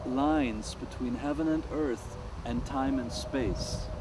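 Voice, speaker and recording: Noticeable background noise and audible room echo fill the recording. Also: man. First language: German. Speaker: world music artist. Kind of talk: interview.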